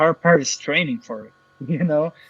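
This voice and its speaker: Speaking at a moderate pace, a man with a Portuguese accent has a fairly high pitch. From Brazil. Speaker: affiliate marketer. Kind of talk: interview.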